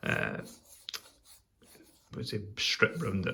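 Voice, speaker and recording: A man with a Scottish accent speaks very slowly at a fairly low pitch, somewhat breathy and with lively intonation. Audible room echo surrounds his voice. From Scotland. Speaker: pipe smoking video host. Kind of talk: casual chat. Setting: workshop.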